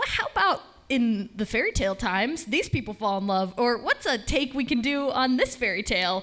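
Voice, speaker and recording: Over noticeable background noise, a woman with an American accent speaks at a moderate pace in a fairly high voice with lively intonation. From Michigan, East Lansing. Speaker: comedian. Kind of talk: stand-up. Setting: stage with audience.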